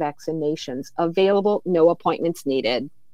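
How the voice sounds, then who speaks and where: A woman's normal speaking voice at a moderate pace, with lively intonation. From born in Flint, Michigan, raised elsewhere. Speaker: health insurance outreach director. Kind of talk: casual interview.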